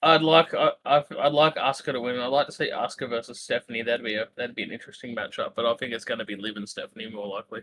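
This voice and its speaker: Very fast speech from a man, with big swings in loudness and a dry, close sound with no echo. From Australia. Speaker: wrestling podcast co-host. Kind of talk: casual chat.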